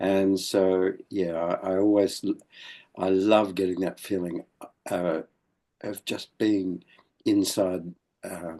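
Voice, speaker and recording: Against a quiet background, a man with an Australian accent speaks at a very slow pace with long, frequent pauses, his very deep, low pitch carrying a dark, mellow tone and monotone, flat intonation. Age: 80s+. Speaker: elder of a men's movement. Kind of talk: interview. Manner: halting.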